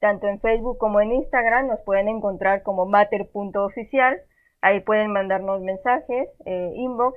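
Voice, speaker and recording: A woman's medium-pitched, ordinary speaking voice at a moderate pace, with fairly even intonation. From Monterrey, northern Mexico. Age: 20s. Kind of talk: casual chat.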